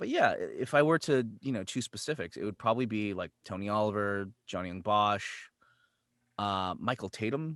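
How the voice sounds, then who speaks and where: A man with a Californian accent, fairly low in pitch with ordinary variation, at a moderate pace in a dry, close sound with no echo. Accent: General American, California. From US West Coast, San Jose, California. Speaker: voice actor. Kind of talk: casual interview chat. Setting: video call.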